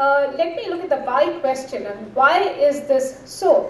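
A woman with a high voice speaks at a fairly slow pace. The room echo is audible. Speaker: speaker. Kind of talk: conference talk. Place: stage. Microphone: podium.

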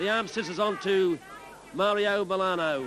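Over noticeable background noise, a man speaks in a raised, projected voice with an animated tone and ordinary pitch variation. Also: dry sound with no echo. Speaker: wrestling commentator. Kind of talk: live wrestling commentary. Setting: television studio broadcast of a match with crowd. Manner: animated, partisan, gasping reactions to the brawl.

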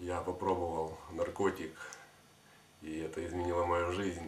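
Against light background noise and audible room echo, a man talks in a very deep, low voice with monotone, flat intonation. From Kyiv, Ukraine. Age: 20s. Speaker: former drug addict, clinic patient. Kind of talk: testimonial to camera. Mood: calm, grateful. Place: office.

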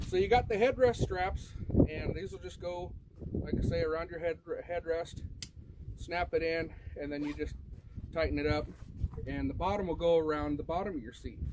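Amid noticeable background noise, a man speaks with long, frequent pauses. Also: moderate pace. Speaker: product reviewer. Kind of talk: casual product review. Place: open country. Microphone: camera far.

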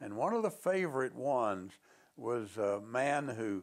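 Very wide pitch swings mark a man's speech over a quiet background. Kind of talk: interview answer. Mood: warm, amused storytelling. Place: office. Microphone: lapel.

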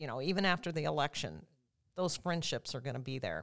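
A woman speaks with lively intonation against a quiet background. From central Illinois, Sullivan; Illinois. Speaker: political candidate; candidate. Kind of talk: interview. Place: studio. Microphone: studio mic.

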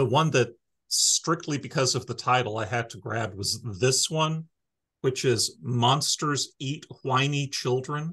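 A man with a bright, sharp tone, very slow pace and ordinary pitch variation against a quiet background. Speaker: library staff podcast host. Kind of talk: casual podcast chat. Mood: friendly, amused. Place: office. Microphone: video call.

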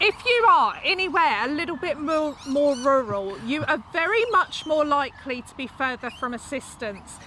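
In a raised, projected voice, a woman speaks at a high pitch and a moderate pace, with a dry sound, no echo and light background noise. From UK. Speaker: YouTuber. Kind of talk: casual chat. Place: garden.

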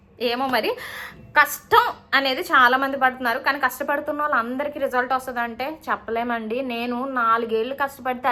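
A woman's raised, projected voice, high in pitch, with fairly even intonation. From Vizag, Andhra Pradesh. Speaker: YouTuber and homemaker. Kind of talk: Q&A vlog answering viewer questions.

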